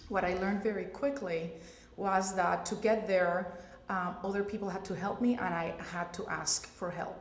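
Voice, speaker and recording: There is audible room echo and noticeable background noise. Through it, a woman talks with fairly even intonation. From Puerto Rico. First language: Spanish. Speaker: pediatric radiologist. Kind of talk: panel discussion.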